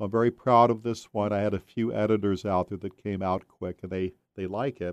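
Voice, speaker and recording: At a fairly quick pace, a man with a normal speaking voice and fairly low pitch speaks with fairly even intonation, the sound dry and close with no echo. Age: 60s. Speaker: author. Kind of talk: casual chat.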